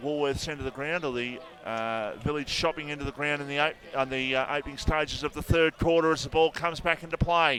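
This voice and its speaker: With an Australian accent, a man speaks at a moderate pace. His pitch is fairly high and his intonation fairly even. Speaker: football commentator. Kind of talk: live commentary. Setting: radio broadcast at football ground. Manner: loud.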